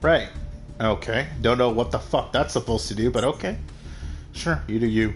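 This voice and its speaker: Over music in the background, a man with a medium pitch speaks at a moderate pace, using lively intonation, very even loudness and long, frequent pauses. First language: Spanish. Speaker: gaming streamer. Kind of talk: live gameplay commentary. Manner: casual, hesitant with many fillers.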